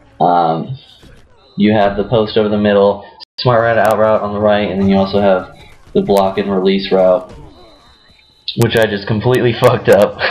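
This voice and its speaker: A man speaks in a fairly low, flat monotone, with long, frequent pauses. Noticeable background noise runs underneath. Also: moderate pace. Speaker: gaming strategy youtuber. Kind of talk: video game tutorial. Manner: casual with frequent fillers.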